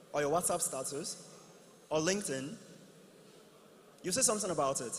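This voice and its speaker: There is audible room echo around a man's voice. He speaks with high pitch and lively intonation. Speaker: tech company executive. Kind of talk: conference announcement. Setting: stage with audience. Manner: fast.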